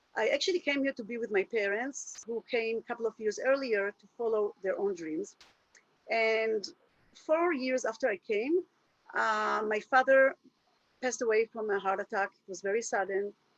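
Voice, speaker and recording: Speaking at a moderate pace with an Israeli accent, a woman uses a fairly high pitch and ordinary pitch variation, the sound dry and close with no echo. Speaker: happiness coach. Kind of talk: webinar presentation. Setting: video call. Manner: halting.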